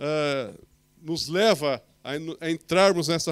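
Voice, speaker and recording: A man's pitch moves in an ordinary way as he talks over a quiet background. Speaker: preacher. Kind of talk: sermon. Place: church.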